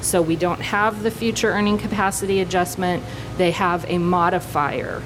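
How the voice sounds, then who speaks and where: A woman speaks at a moderate pace in a fairly low pitch. The room echo is audible and the background noise is noticeable. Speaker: workers compensation rating expert. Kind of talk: conference panel presentation. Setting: conference panel with audience.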